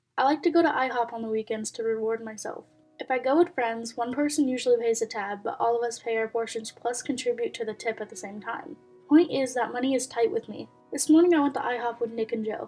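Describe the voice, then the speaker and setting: A woman speaks at a very fast pace in a high pitch with ordinary pitch variation. Music plays behind her. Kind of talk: reading reddit posts with commentary. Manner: casual, conversational.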